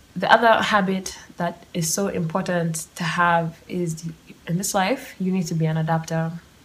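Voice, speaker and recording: A somewhat breathy woman speaks at a fairly low pitch. Her pace is moderate and her intonation fairly even. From Kenya. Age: 20s. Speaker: podcast host. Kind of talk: solo monologue. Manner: casual, laughing often.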